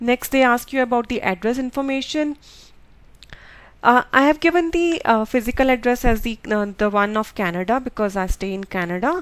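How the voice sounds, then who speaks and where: A woman's high-pitched voice with a Punjabi accent. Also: lively intonation, fairly quick pace. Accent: Indian English (Punjabi). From India (Punjab). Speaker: nurse. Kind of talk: tutorial. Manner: halting, many fillers.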